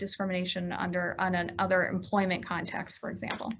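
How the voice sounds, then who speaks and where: At a fairly quick pace, a woman speaks with a bright, sharp tone at a medium pitch. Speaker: attorney. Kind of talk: lecture. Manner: fast.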